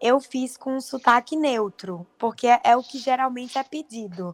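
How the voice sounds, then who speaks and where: A high-pitched woman at a fairly slow pace, with lively intonation, a dry, close sound with no echo, and a very clean recording with a silent background. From Paraíba, Northeast Brazil. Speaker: actress. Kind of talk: interview.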